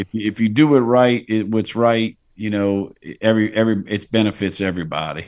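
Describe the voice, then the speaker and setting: A man with a South Louisiana accent, fairly quick pace and ordinary pitch variation. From Louisiana, Plaquemines Parish. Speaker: fishing guide. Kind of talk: casual chat.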